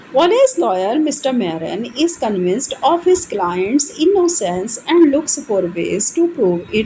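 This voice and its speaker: Hardly any pauses from a woman with a high pitch and very wide pitch swings, over noticeable background noise. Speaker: English literature teacher. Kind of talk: exam-oriented literature lecture in Hindi-English mix.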